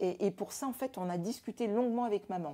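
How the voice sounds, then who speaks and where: Dark and mellow in tone, a woman's voice is heard. Her pitch varies in an ordinary way. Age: 60s. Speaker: family caregiver giving testimony. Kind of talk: interview testimony. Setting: at home. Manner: hesitant, many fillers and repetitions.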